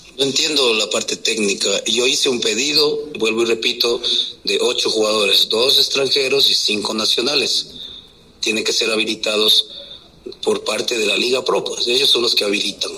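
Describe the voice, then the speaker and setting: Noticeable background noise sits under this man's voice. He keeps a moderate pace and very even loudness. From Quito, Ecuador. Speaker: football coach. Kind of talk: press conference.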